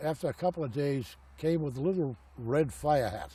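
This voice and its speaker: A man's fairly high, somewhat breathy voice in an American accent, dark and mellow in tone, with lively intonation and a moderate pace. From Boston, Massachusetts. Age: 70s. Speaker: elderly man recounting his life. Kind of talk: oral history interview. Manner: halting, with many fillers.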